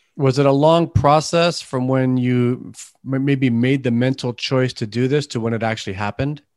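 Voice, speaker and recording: A man at medium pitch, with a slight Canadian accent, keeps fairly even intonation at a moderate pace. He leaves hardly any pauses, and the background is quiet. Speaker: podcast host. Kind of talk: interview. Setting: remote recording. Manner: halting, repeats words.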